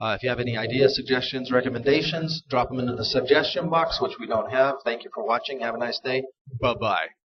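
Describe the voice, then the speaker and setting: A man talks at a very fast pace and a medium pitch, with ordinary pitch variation and big swings in loudness. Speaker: tutorial host. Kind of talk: tutorial.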